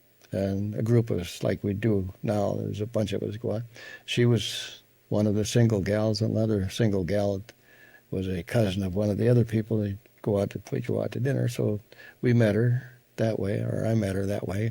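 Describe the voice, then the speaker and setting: A man with an Upper Midwest accent speaks at a moderate pace and a fairly low pitch. His tone is dark and mellow, with fairly even intonation. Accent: Upper Midwest American. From Wisconsin, USA. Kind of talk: interview answer. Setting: home recording.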